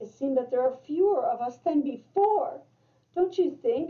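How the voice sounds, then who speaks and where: High-pitched, moderately paced put-on character voice from a woman. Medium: read story.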